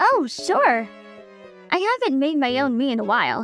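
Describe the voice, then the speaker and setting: Against faint music in the background, a female-sounding put-on character voice with a high pitch speaks at a moderate pace. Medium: dub.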